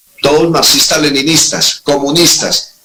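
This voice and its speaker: A man's fairly high voice at a fairly slow pace. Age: 60s. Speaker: retired army colonel, security analyst. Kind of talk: interview on security analysis. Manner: animated.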